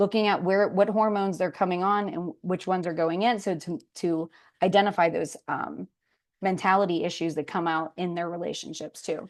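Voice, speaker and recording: A woman with an American accent speaks at a medium pitch and a fairly quick pace. Her intonation is fairly even over a quiet background. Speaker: sex therapist and counselor. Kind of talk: lecture. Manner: fast.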